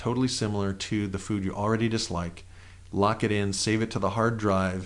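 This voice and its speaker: This is a plain, everyday voice. Its intonation is fairly even. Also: man. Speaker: NLP trainer. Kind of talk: guided exercise.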